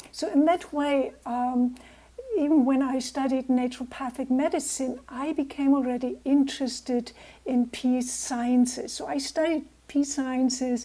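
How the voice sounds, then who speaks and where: With a German accent, a woman talks at a fairly slow pace in a high voice with a dark, mellow tone and fairly even intonation. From Germany. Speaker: naturopath and peace builder. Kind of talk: talk to a club over video call. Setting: video call.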